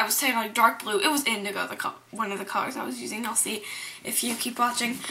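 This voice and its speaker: With noticeable background noise in the recording, the talking races along at a very fast pace. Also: woman. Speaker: beauty vlogger. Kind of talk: makeup tutorial. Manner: casual, filler-heavy.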